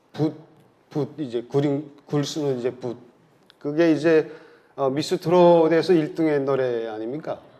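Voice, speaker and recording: A man's fairly high voice with a strong Pyongan accent, a dark, mellow tone, fairly even intonation and long, frequent pauses. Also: fairly slow pace. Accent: North Korean Pyongan dialect, still strong. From North Korea, South Pyongan province. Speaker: researcher, North Korean agriculture expert. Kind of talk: lecture. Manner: hesitant, many fillers.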